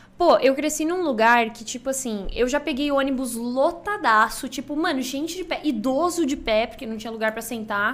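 A woman speaks at a moderate pace with hardly any pauses and big swings in loudness. Her pitch is high, with ordinary pitch variation. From Brazil, interior of Rio Grande do Sul. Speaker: streamer. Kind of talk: casual chat.

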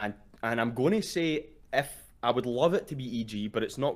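A man with a Glaswegian accent, medium pitch, ordinary pitch variation and a moderate pace. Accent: Glaswegian Scottish. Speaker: caller. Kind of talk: casual chat. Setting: online voice call.

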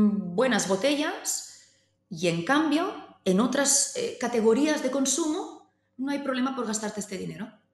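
A woman speaks with lively intonation amid audible room echo. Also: high pitch for a woman. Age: 30s. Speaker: winery CEO. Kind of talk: interview. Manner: halting.

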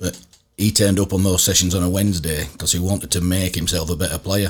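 Here a man speaks in a Yorkshire accent at a fairly quick pace. His pitch is very deep and low. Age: 50s. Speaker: former rugby league coach. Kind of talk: casual interview chat. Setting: studio.

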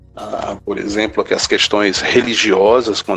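A man with a Ceará accent, music in the background. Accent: Brazilian Northeastern (Cearense) Portuguese. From Brazil, Ceará (Quixadá). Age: 50s. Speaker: professor and researcher. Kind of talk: podcast interview, lecture-like explanation. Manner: halting, frequent repetitions.

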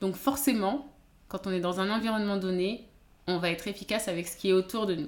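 A woman with a medium-pitched voice. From France, of Beninese descent. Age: 30s. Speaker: naturopath coach. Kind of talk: interview conversation. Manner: hesitant, many fillers.

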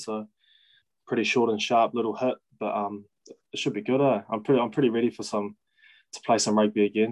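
A man speaks with a New Zealand accent. His intonation is monotone and flat. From New Zealand, Kapiti Coast. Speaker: professional rugby player. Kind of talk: casual chat.

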